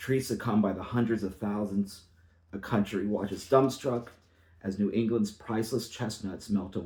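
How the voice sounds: Ordinary pitch movement in a natural reading voice.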